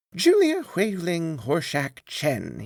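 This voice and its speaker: A man puts on a character voice, pitched high. His delivery is sing-song. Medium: read story. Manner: playful, taunting sing-song.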